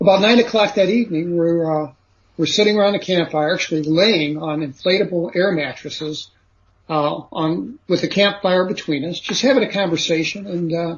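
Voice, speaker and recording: Speaking at a moderate pace with an American accent, a man uses a high pitch and ordinary pitch variation. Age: 60s. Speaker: author and former lawyer. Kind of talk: interview, personal testimony. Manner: casual, hesitant with fillers.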